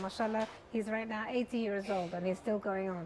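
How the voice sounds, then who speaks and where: A woman with a Persian accent. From Iran, Tehran, then London. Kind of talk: interview.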